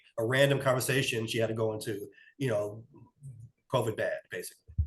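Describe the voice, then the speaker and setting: Very fast, somewhat breathy speech in a monotone, flat intonation. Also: man, medium pitch for a man. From New York. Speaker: podcast co-host. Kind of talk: casual chat. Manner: conversational storytelling.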